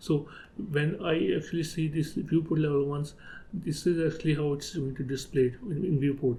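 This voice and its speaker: Pitched fairly high, a man's voice shows ordinary pitch variation. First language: not English. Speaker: 3D software tutorial creator. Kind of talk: tutorial. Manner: halting, with fillers.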